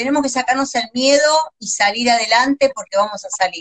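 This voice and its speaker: A woman's high-pitched voice with ordinary pitch variation, the sound dry and close with no echo. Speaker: visual artist and crafts teacher. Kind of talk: live-stream craft tutorial. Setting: Instagram live video.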